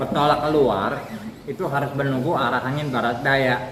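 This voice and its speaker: A man keeps a moderate pace while audible room echo and noticeable background noise fill the recording. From Indonesia, Serang, Banten. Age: 70s. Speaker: temple spokesperson. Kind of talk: interview.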